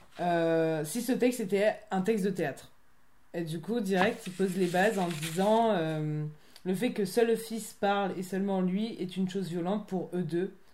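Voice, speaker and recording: A woman with a medium pitch talks at a fairly slow pace with ordinary pitch variation, and audible room echo surrounds her voice. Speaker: theatre company member, film student. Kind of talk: casual chat.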